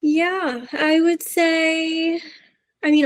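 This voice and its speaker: Her words come at a very slow pace as this woman speaks. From Arizona. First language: Spanish. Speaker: business founder. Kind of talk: podcast interview.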